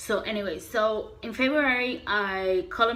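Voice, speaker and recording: Speaking very slowly, a woman uses lively intonation at a fairly high pitch. Audible room echo surrounds her voice. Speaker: beauty vlogger. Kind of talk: casual vlog tutorial. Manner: halting, with fillers.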